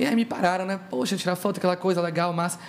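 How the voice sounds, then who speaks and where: A man's high voice moves at a fairly quick pace through noticeable background noise. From Brazil, Salvador (Bahia). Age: young. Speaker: singer. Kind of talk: casual chat.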